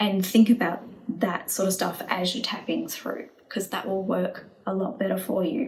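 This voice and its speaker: A woman at medium pitch, with noticeable background noise. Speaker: EFT and manifestation coach. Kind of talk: tutorial. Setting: home video recording. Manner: casual, spontaneous.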